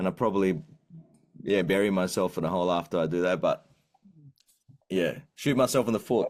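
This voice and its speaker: A man with an Australian accent speaks at a fairly quick pace, yet with long, frequent pauses. His very deep, low voice keeps a very even loudness and ordinary pitch variation. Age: 30s. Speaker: singer-songwriter. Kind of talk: interview. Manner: halting.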